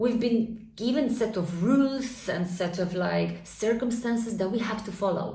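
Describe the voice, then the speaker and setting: A fairly high-pitched woman at a fairly slow pace with hardly any pauses, ordinary pitch variation and audible room echo. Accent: Polish. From Poland. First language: Polish. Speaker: spiritual vlogger. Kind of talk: casual monologue. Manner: conversational, filler-heavy.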